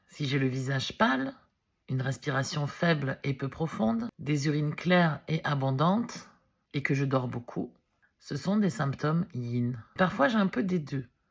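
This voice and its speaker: At a fairly slow pace, a woman speaks with lively intonation and a very deep, low pitch. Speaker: wellness video blogger, reflexology practitioner. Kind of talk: vlog explainer. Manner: loud.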